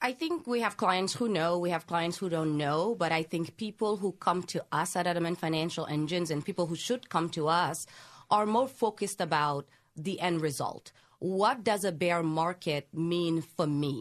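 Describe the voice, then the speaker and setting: Against a quiet background, a woman with an American accent speaks at a moderate pace in a fairly low pitch with ordinary pitch variation. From Senegal, West Africa. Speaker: wealth planner. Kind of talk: interview.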